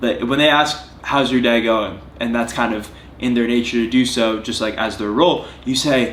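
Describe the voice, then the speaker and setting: A man speaks at a moderate pace in a medium pitch, with fairly even intonation. Audible room echo surrounds his voice. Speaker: fitness vlogger. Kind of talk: vlog monologue to camera. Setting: at home on couch. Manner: earnest.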